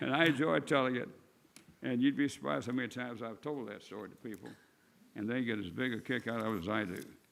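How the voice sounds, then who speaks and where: A man with a Missouri accent at medium pitch, very fast pace, lively intonation and vocal fry. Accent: Midwestern US (Missouri). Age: 80s+. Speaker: retired city attorney. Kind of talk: speech at council meeting. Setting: city council meeting.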